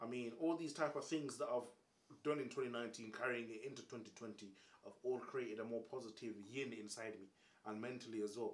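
A man talks at a medium pitch. He has a London accent. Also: moderate pace. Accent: London Multicultural English. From England, Caribbean background. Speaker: comedian and YouTuber. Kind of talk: casual chat. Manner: animated.

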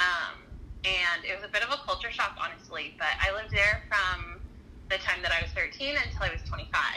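Against noticeable background noise, a woman talks at a moderate pace with an American accent. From Southern California. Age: 30s. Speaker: former ministry worker. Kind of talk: casual interview.

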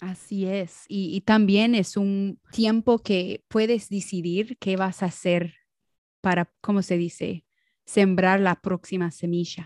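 In a very clean recording with a silent background and a dry, close sound with no echo, a woman speaks very slowly at a medium pitch with monotone, flat intonation. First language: English (speaking Spanish). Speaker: podcast co-host. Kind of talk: casual chat. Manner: halting, searching for Spanish words.

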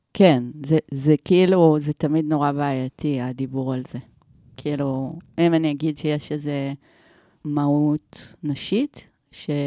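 A woman with a very deep, low pitch and a dark, mellow tone speaks at a fairly slow pace with fairly even intonation and long, frequent pauses, the sound dry and close with no echo and the recording very clean with a silent background. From Israel, Omer. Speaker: filmmaker and video producer. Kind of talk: casual interview. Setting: podcast studio.

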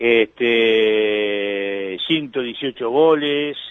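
A man's voice with fairly even intonation. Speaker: sports radio host. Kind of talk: radio interview.

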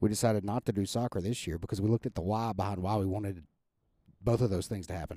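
A man speaks very fast in a fairly low, dark and mellow voice, on a very clean recording with a silent background. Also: fairly even intonation. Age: 30s. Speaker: podcast co-host. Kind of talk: casual chat.

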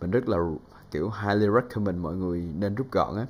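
A man talks at a fairly low pitch. He keeps a moderate pace with ordinary pitch variation. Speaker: voice talent and podcast host. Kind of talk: casual solo podcast tutorial.

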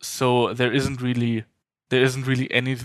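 In a German accent, a man speaks at a moderate pace and medium pitch. The recording is very clean, with a silent background. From Germany. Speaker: nuclear advocate and lab technician trainee. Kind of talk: interview conversation.

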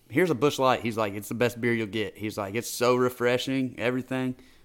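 A man with an unremarkable speaking voice, medium in pitch, talks at a fairly quick pace with fairly even intonation. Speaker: co-host. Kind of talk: casual chat.

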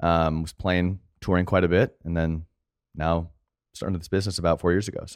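Recorded dry and close with no echo on a very clean, silent background, a man with a very deep, low pitch speaks at a fairly quick pace. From Arizona, US. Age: 30s. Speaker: video director and entrepreneur. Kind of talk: casual chat.

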